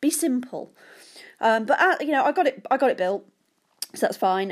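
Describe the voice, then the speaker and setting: A woman with a British accent, animated in tone and fairly quick, on a very clean recording with a silent background. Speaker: podcast host. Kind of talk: casual solo podcast monologue. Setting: home, sitting on sofa. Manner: chatty, self-deprecating, animated.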